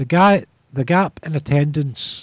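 A somewhat breathy man speaks with ordinary pitch variation in a dry, close sound with no echo. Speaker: community radio presenter. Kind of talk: radio presenter reading local announcements. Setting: radio studio.

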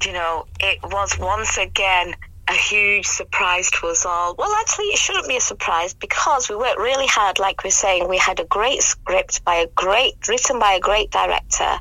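Over noticeable background noise, a woman speaks at a moderate pace with very even loudness and hardly any pauses. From England. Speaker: amateur actress in a drama cast. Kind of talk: radio interview, casual chat. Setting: radio studio.

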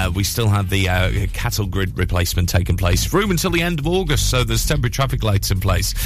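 A man rattles off words very fast while music plays in the background. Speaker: radio breakfast show host. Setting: radio studio, live broadcast. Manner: animated, chatty, warm, with frequent 'uh' fillers.

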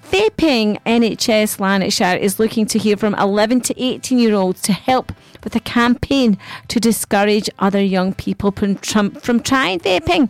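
A woman with an unremarkable speaking voice talks at a fairly slow pace and a fairly high pitch. Her pitch varies in an ordinary way, and the sound is dry and close with no echo. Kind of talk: radio DJ patter between songs, with station IDs, travel and weather slots. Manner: bubbly, chatty and upbeat, with cheery catchphrases, laughing and quipping.

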